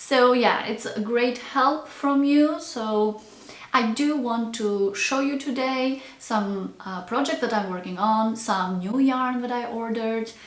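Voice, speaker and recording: Over noticeable background noise and audible room echo, a woman with a non-native accent speaks at a high pitch and a very slow pace. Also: ordinary pitch variation. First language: not English. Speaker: crochet content creator. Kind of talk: casual chat. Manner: hesitant, with fillers.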